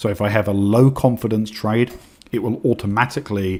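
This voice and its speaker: Talking at a very fast pace with an English accent, a man keeps a fairly low pitch and fairly even intonation. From England. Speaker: trading educator. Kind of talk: webinar presentation. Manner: hesitant with fillers.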